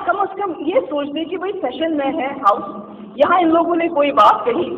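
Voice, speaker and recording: Against noticeable background noise, a woman speaks in a high pitch with lively intonation. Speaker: politician. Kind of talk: political assembly speech. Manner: forceful, indignant.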